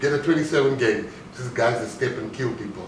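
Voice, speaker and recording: A fairly high-pitched man talks at a moderate pace, with audible room echo and noticeable background noise. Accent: South African. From South Africa. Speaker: motivational speaker, former bank robber turned entrepreneur. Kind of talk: motivational talk.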